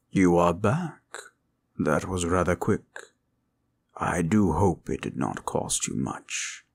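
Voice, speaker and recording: A man speaks in a put-on character voice with a very deep, low pitch, at a fairly slow pace. Long pauses come often, and the recording is very clean with a silent background. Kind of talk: audio roleplay. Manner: formal, gentle.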